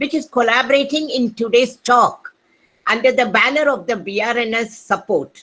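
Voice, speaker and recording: A loud woman's high-pitched voice at a moderate pace, with ordinary pitch variation. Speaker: retired physicist, NGO trustee. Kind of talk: welcome speech.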